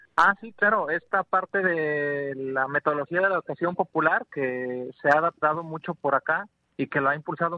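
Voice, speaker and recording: This man uses a plain, everyday voice and keeps a moderate pace. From rural western Mexico. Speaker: organic farmer and rural educator. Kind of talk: radio interview.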